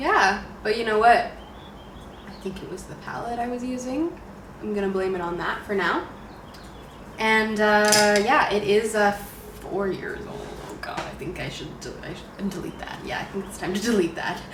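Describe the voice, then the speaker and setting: Speaking in a Canadian accent at a moderate pace, a woman with a medium pitch leaves long, frequent pauses, with ordinary pitch variation and big swings in loudness, amid noticeable background noise and audible room echo. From Canada, Ontario. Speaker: beauty vlogger. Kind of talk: casual makeup tutorial chat.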